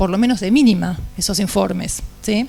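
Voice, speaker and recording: A soft-spoken woman talks with ordinary pitch variation. Noticeable background noise is present. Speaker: engineer panelist. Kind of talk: panel talk presentation. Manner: halting.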